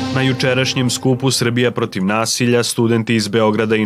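A man talks in a normal speaking voice at medium pitch. His intonation is fairly even and his pace moderate. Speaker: news presenter. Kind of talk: news reading.

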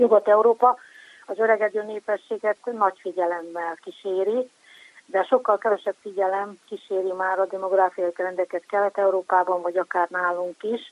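A woman's unremarkable speaking voice at medium pitch and moderate pace, with fairly even intonation and a dry, close sound free of echo. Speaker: sociologist. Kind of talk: expert interview. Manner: formal.

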